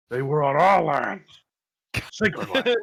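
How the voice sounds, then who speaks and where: A man uses a put-on character voice at a fairly high pitch. The delivery moves at a fairly slow pace. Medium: actual play. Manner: defiant, hostile.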